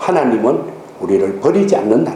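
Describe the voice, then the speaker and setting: With a Gyeongsang accent, a man talks at a moderate pace with very wide pitch swings, amid noticeable background noise and audible room echo. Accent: Gyeongsang dialect, still noticeable. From Gyeongsang region, South Korea. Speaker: pastor. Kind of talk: sermon.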